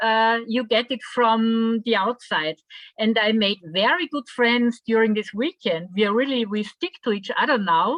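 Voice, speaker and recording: A woman with a German accent, fairly high in pitch, fairly slow, with ordinary pitch variation. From Austria. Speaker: workshop participant. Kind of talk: group discussion.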